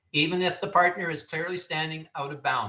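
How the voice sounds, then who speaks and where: A man talks at a moderate pace in a bright, sharp tone. Audible room echo can be heard. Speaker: referee instructor. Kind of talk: training lecture.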